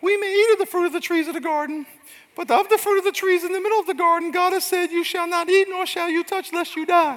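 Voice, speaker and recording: An extremely high-pitched, put-on character voice at a very fast pace. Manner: nasty, unpleasant.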